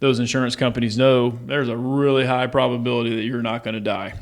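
A man with an unremarkable speaking voice, medium pitch and fairly even intonation, on a very clean recording with a silent background. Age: 40s. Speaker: financial coach and former pro baseball player. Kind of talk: casual interview.

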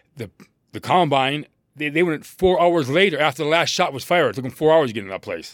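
This man talks very fast in a fairly high pitch, with vocal fry and big swings in loudness. His pitch variation is ordinary. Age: old. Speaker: host's father, podcast co-host. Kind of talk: casual chat.

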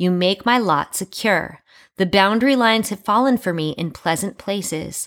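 With ordinary pitch variation and a moderate pace, this woman has an unremarkable speaking voice. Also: medium pitch for a woman. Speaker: podcast host.

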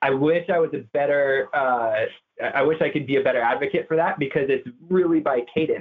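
Pitched fairly high, a man speaks in a plain, everyday voice with ordinary pitch variation. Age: 30s. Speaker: real estate agent. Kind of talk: interview.

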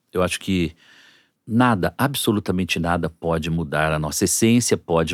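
In a very clean, dry and close recording with a silent background and no echo, a man talks at a moderate pace in a very deep, low pitch with ordinary pitch variation. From interior of São Paulo state, Brazil (Lins). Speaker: entrepreneur. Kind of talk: interview. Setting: studio.

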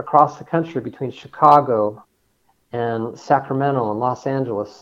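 This is an ordinary speaking voice. A man with a fairly high pitch talks at a moderate pace. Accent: American. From Colorado, US. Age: 60s. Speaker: engineer and transportation research advocate. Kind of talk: interview.

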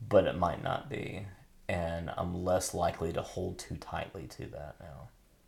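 Very deep and low, a man's voice with vocal fry moves at a fairly slow pace, with ordinary pitch variation, big swings in loudness and audible room echo. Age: 50s. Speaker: podcast host and pastor. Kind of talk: casual chat. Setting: home bathroom. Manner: halting.

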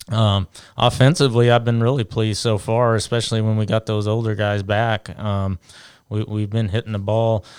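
A man with an American accent speaks in an ordinary speaking voice at a fairly low pitch, with fairly even intonation and a moderate pace. The recording is very clean, with a silent background. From Louisiana and Indiana. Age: 30s. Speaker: high school baseball coach. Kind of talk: casual interview chat.

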